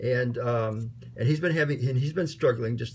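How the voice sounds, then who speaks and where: The voice of a man comes across somewhat breathy. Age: old. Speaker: online course team organizer. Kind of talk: casual meeting chat. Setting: video call. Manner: halting, many fillers.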